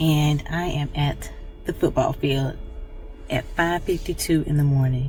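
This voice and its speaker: Noticeable background noise sits behind a woman's voice. She talks at a fairly slow pace with lively intonation. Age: 50s. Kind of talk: casual vlog talk to camera.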